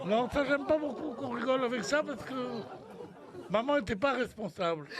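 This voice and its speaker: Crowd noise behind a man's extremely high voice, lively in intonation and fairly quick in pace. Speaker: radio humorist doing monologue sketches on a radio panel show. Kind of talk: comic monologue on a radio show.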